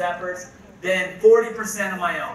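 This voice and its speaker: Delivered at a moderate pace, the voice is raised and projected over noticeable background noise, with audible room echo. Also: man. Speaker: network marketing presenter. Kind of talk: presentation to live audience. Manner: animated.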